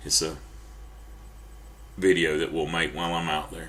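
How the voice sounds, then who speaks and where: A man with an American accent and a very deep, low pitch speaks with vocal fry at a moderate pace amid audible room echo. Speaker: preacher. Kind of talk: sermon. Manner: halting.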